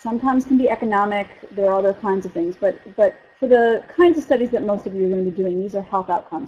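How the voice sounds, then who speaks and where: An unremarkable speaking voice with an American accent moves at a fairly quick pace. The intonation is lively. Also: woman. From US East Coast. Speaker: physician researcher lecturer. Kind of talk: lecture.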